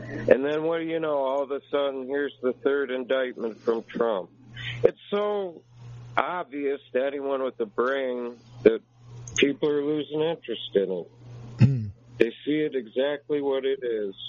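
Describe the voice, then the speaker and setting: A man speaks in a normal speaking voice, pitched fairly high for a man. His pace is fairly slow, with ordinary pitch variation. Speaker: caller.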